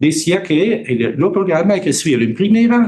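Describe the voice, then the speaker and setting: A man talks in a Buenos Aires accent at a moderate pace. His pitch swings very widely. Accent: Italian speaker with Buenos Aires Spanish. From Italy. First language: Italian (speaking Spanish). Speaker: computer scientist. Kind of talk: lecture. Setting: auditorium with audience. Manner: halting.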